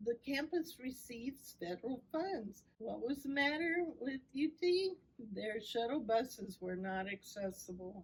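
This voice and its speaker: Her high voice swings very widely in pitch as this woman speaks at a fairly slow pace. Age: 60s. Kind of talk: podcast interview.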